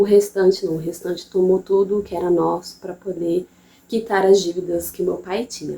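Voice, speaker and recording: A woman's medium-pitched voice with a Bahian accent, dark and mellow in tone, with monotone, flat intonation at a moderate pace. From interior of Bahia, Brazil. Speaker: mother and channel host. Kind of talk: personal testimony. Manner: casual, halting with repetitions.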